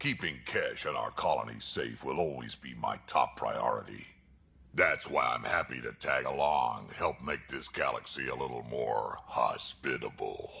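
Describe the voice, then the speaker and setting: Using a put-on character voice, a man speaks at a moderate pace. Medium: video game. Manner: gruff, blunt.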